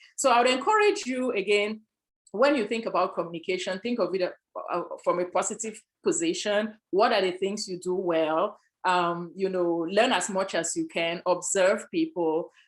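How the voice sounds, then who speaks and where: Here a woman speaks with an African accent at a moderate pace. Her pitch is medium, with ordinary variation. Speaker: panelist, sales executive. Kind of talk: panel discussion.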